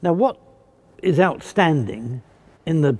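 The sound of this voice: A man talks at a fairly slow pace, his pitch fairly high for a man and his intonation lively. His tone is dark and mellow with a slightly husky edge.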